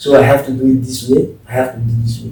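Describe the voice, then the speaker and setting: A man with a medium pitch talks at a very fast pace. Noticeable background noise and audible room echo fill the recording. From Chad. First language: French. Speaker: religious brother. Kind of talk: interview. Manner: halting.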